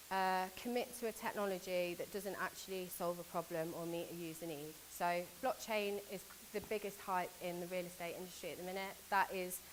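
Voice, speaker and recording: With a British accent, a woman speaks fairly quickly at a medium pitch and with fairly even intonation. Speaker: conference speaker from a government agency. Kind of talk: conference talk. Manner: fast.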